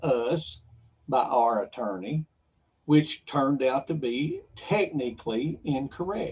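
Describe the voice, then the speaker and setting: The speaker has an American accent. The delivery is at a very slow pace. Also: man. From Kentucky. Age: 60s. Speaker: wildlife commissioner. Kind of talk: public meeting statement. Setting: virtual livestream meeting.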